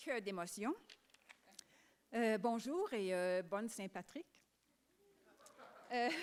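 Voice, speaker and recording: At a very slow pace with long, frequent pauses, a woman speaks at a fairly high pitch with lively intonation. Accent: English. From Quebec. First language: English (speaking French). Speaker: children's book author. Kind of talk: acceptance speech. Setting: stage with audience.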